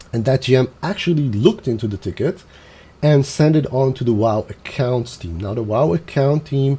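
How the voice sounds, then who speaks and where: A man's somewhat breathy voice with a dark, mellow tone at a moderate pace. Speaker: gaming streamer. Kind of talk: live stream commentary.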